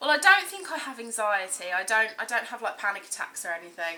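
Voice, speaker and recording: A woman with an English accent speaks at a medium pitch and a moderate pace. Her tone is bright and sharp. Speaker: vlogger. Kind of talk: personal vlog testimony. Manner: hesitant, many ums.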